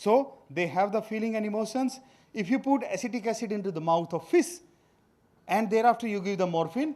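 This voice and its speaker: A man speaks in an Indian accent with a high pitch and lively intonation. His pace is fairly quick. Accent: Indian accent, notable pronunciation. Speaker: veterinary scientist, food safety official. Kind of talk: workshop lecture. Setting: workshop presentation. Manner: hesitant with fillers.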